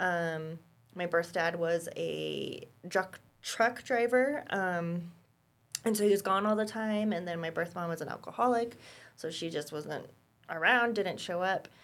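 Speaking in a normal speaking voice with an American accent, a woman keeps a fairly low pitch, ordinary pitch variation and a fairly slow pace. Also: very clean recording, silent background. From Colorado, US. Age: 30s. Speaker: caseworker and former foster youth. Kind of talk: interview, personal testimony.

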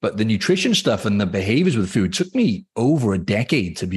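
A man's somewhat breathy, fairly low voice with lively intonation at a very fast pace, against a quiet background. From Cardiff, Wales. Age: 30s. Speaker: fitness coach and online mentor. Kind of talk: casual interview.

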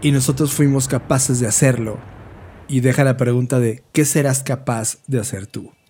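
Moving at a moderate pace, this somewhat breathy voice carries a dark, mellow tone and fairly even intonation. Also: man, medium pitch for a man. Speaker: podcast co-host. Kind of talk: casual chat.

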